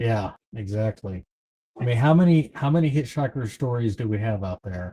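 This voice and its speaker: In an American accent, a man with a medium pitch speaks at a moderate pace with lively intonation, his somewhat breathy voice dark and mellow, the sound dry and close with no echo. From East Texas. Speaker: livestream host running a trivia game. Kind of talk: casual livestream chat, reading trivia questions.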